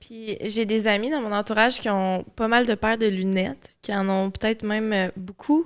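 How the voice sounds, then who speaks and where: On a very clean recording with a silent background, a woman talks at a moderate pace with hardly any pauses, a fairly high pitch and ordinary pitch variation. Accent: Quebec. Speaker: podcast host. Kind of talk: casual chat.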